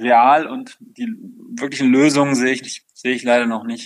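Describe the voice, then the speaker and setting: Fairly high in pitch, a man talks at a moderate pace. His intonation is fairly even. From Rhineland, Germany (Overath, Bergisches Land near Cologne). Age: 40s. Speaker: company founder. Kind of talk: interview. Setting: video call. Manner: hesitant, many filler sounds.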